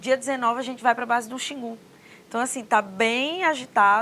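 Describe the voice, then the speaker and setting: A woman's fairly quick delivery. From Northeast Brazil, Mossoró (Rio Grande do Norte). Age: 40s. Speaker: government official. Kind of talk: interview.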